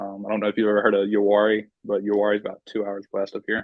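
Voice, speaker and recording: A man at a medium pitch with a North Carolina accent. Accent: Southern US (North Carolina). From North Carolina, Piedmont near Raleigh. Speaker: hunter, wildlife management student. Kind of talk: casual interview.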